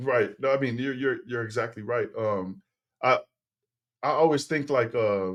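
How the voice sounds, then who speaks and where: At a moderate pace with long, frequent pauses, a man with a Tongan accent speaks at a medium pitch with ordinary pitch variation. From Texas. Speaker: former football player and teacher turned business owner. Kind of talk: podcast interview. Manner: halting with many fillers and repetitions.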